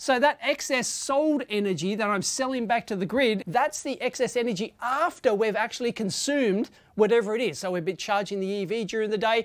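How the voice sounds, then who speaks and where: Speaking with an Australian accent, a woman moves at a fairly quick pace in a fairly high pitch, with lively intonation and hardly any pauses. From Australia, Sydney. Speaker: tech YouTuber. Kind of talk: tutorial. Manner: casual, with fillers.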